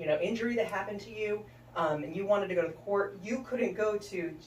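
Audible room echo surrounds a woman as she talks. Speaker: guest. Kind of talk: interview answer. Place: studio.

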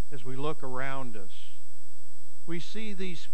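There is light background noise while a man talks very slowly. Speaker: preacher. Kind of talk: sermon. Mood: calm guided imagery. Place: church.

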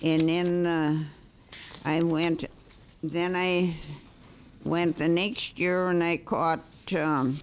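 In an American accent, a woman speaks very slowly at a fairly low pitch, monotone and flat, with very even loudness, long, frequent pauses and light background noise. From Minnesota. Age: 80s+. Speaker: citizen testifying at hearing. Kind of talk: testimony to a committee, telling fishing stories. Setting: hearing room. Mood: proud, cheerful. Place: meeting room. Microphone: podium.

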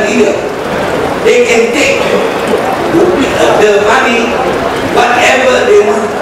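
Over loud background noise and audible room echo, a man speaks at a very slow pace. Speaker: politician giving speech. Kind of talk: political speech. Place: tent.

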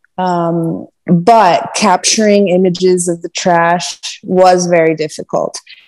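With faint music in the background, a woman with an American accent and a fairly low pitch speaks at a very slow pace in monotone, flat intonation with hardly any pauses. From US East Coast. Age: 20s. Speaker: sailor; podcast guest. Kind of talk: casual chat. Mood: relaxed, thoughtful. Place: home room. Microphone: earbuds.

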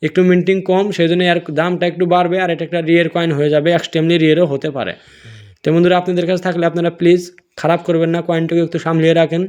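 In a non-native accent, a man with a high pitch for a man speaks in a flat monotone. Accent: non-native Bengali speaker. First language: not Bengali; another mother tongue (speaking Bengali). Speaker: coin collecting video creator. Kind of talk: tutorial. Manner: casual, repetitive.

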